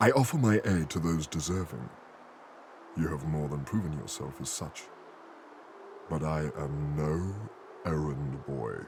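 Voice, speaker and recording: In a put-on character voice with a very deep, low pitch, a man speaks at a moderate pace with long, frequent pauses, and background noise is clearly heard. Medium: video game. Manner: formal, eloquent.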